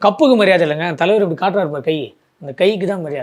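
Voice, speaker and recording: A man's voice with ordinary pitch variation. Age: 40s. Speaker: film fan. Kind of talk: interview. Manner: animated.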